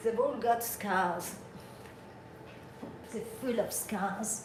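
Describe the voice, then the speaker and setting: With a non-native accent, a woman talks at a very slow pace with ordinary pitch variation, amid audible room echo and noticeable background noise. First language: not English. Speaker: livestreamer watching wildlife. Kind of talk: casual live stream chat. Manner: animated.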